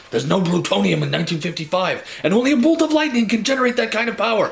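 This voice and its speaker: Putting on a character voice, a man talks at a very fast pace and a high pitch over clear background noise. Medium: read story. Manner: excitable, emphatic.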